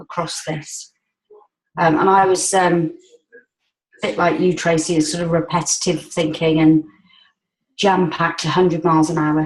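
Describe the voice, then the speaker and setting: With monotone, flat intonation, a woman at a fairly low pitch speaks at a moderate pace, taking long, frequent pauses. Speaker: support group participant. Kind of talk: casual group call chat. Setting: group call.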